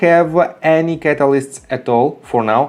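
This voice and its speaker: In a non-native accent, a man speaks at a fairly high pitch with lively intonation. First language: not English. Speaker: stock market YouTuber. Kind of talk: stock analysis tutorial. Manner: hesitant, many filler sounds.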